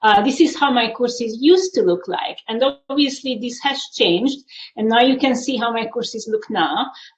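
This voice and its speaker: The speaker has a Hungarian accent and lively intonation. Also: woman, high pitch for a woman, moderate pace. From Hungary. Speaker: university instructor. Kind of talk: panel presentation.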